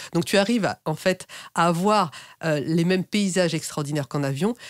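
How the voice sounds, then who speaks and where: A woman with an unremarkable speaking voice, fairly low in pitch, uses lively intonation. The sound is dry and close, with no echo. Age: 50s. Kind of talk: interview.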